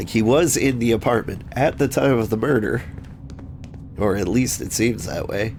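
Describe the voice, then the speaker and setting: Noticeable background noise sits behind a man speaking at a moderate pace. His voice is medium in pitch with ordinary pitch variation. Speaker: gaming video host. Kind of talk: casual gameplay commentary.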